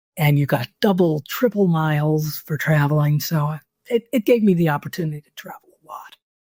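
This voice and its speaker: In a New York accent, a woman speaks at a moderate pace with a very deep, low pitch and ordinary pitch variation. Her tone is dark, mellow and somewhat breathy, and the sound is dry and close with no echo. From US Northeast, New York City. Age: 70s. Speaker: travel writer. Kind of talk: interview.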